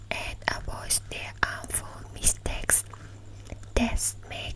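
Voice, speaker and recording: A woman whispers at a very slow pace. Background noise is noticeable. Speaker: ASMR creator. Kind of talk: ASMR book reading. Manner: whispered; soft-spoken.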